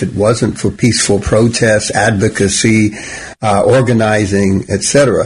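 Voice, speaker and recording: A man talks with a medium pitch. Behind him is noticeable background noise. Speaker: pastor and radio host. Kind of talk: radio talk show, co-host chat.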